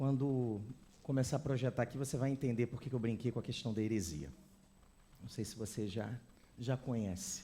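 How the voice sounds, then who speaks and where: Somewhat breathy and dark and mellow in tone, a man speaks at a moderate pace with long, frequent pauses. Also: medium pitch for a man, ordinary pitch variation. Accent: Brazilian. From Brazil. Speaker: visiting preacher. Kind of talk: sermon. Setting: church with congregation.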